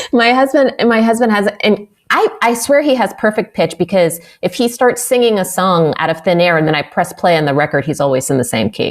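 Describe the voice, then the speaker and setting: At a fairly quick pace, a woman in an American accent speaks in a medium pitch with very wide pitch swings. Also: very even loudness. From US West, Bay Area California. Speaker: jazz vocalist. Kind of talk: interview.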